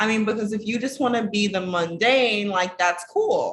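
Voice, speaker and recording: A woman with a normal speaking voice talks at a moderate pace and medium pitch, with ordinary pitch variation. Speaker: relationship coach. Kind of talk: casual vlog talk to camera.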